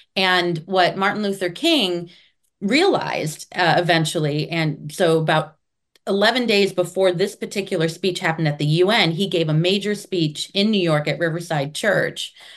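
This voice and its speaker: Against a quiet background, a woman with an unremarkable speaking voice talks at a moderate pace and a fairly low pitch, with ordinary pitch variation and very even loudness. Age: 50s. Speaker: curator and former mayor. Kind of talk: casual interview.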